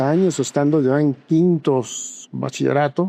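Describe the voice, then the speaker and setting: A man with a fairly high pitch. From Panama. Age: 70s. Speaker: retired archbishop. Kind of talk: interview testimony. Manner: measured, with frequent hesitations.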